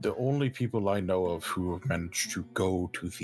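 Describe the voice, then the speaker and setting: In a put-on character voice, someone growls at a fairly slow pace while faint music plays in the background. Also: man. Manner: formal, stiff, courteous.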